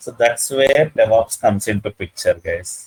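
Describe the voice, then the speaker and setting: A man in an Indian accent speaks at a fairly slow pace with very wide pitch swings and a somewhat breathy quality. The sound is dry and close, with no echo. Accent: Indian English (Telugu). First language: Telugu. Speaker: IT trainer. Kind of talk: lecture. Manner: halting, many fillers.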